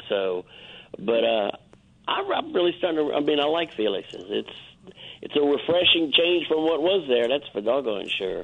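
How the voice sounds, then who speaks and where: Over noticeable background noise, a man with a fairly high voice speaks at a moderate pace with very wide pitch swings. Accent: New Orleans. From US South, New Orleans area. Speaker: guest. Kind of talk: casual chat.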